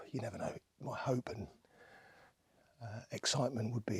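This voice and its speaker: Quiet and somewhat breathy, a man speaks with an English accent. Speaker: landscape photographer. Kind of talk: outdoor vlog narration. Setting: outdoors in woodland. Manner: quiet, hushed.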